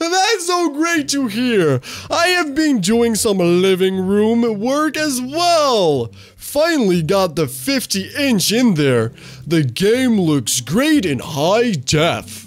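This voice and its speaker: A put-on character voice from a man, high-pitched with very wide pitch swings, very even loudness and a very slow pace. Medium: solo performance. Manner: upbeat, folksy.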